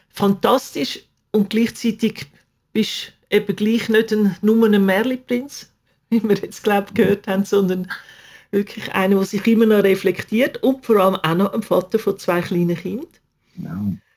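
A woman talks at a moderate pace with a medium pitch and fairly even intonation. She has an unremarkable speaking voice. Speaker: podcast host. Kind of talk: interview. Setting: video call.

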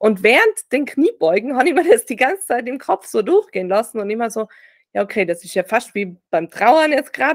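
A woman with a high pitch, very wide pitch swings and big swings in loudness, at a fairly quick pace, in a dry, close sound with no echo. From Austria, Tyrol (Reutte, near German border). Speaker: grief-recovery sports coach and author. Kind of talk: personal testimony in interview. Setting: video call.

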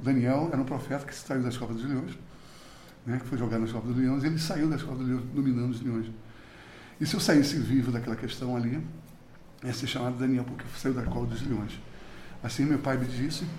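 Audible room echo surrounds a man at a medium pitch who talks at a fairly quick pace with fairly even intonation and long, frequent pauses. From Brazil, Recife (Pernambuco), then moved away. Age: 60s. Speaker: musician and cultural producer. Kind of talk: interview. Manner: hesitant, many fillers.

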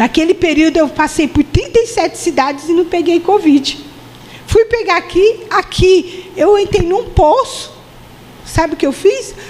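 Her extremely high-pitched voice carries lively intonation and very even loudness at a fairly slow pace. Noticeable background noise sits behind the woman. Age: 50s. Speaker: preacher. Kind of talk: sermon.

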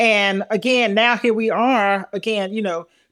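In a Southern US accent, a woman speaks at a fairly high pitch. Her pitch variation is ordinary. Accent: Southern US (Georgia). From US South, Milledgeville, Georgia. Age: 60s. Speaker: podcast co-host, author and motivational speaker. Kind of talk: casual chat.

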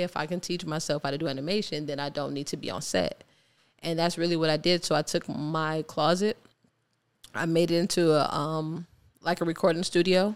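In an American accent and a normal speaking voice, a woman talks at a fairly quick pace and a fairly low pitch with fairly even intonation, on a very clean recording with a silent background. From Ohio, Cleveland. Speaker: artist and filmmaker. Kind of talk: casual interview.

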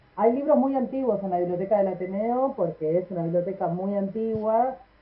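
A woman's normal speaking voice at a medium pitch, moderate pace, and ordinary pitch variation. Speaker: library radio segment host. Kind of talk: casual radio chat.

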